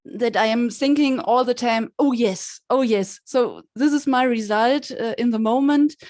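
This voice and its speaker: Speech in a German accent moves along at a fairly slow pace. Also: woman. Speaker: session participant. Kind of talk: video call discussion. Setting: video call. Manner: halting.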